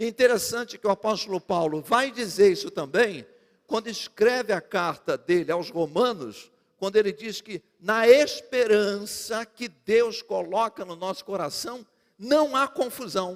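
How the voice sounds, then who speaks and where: At a fairly slow pace, a man speaks in a high pitch, his loudness swinging widely. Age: 60s. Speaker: pastor. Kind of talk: sermon. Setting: church.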